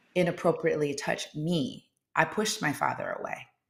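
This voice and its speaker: The voice is loud with a bright, sharp tone. It moves at a moderate pace with ordinary pitch variation. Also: woman. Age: 50s. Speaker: confidence coach and former civil rights attorney. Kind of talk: interview. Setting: live video show. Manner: animated.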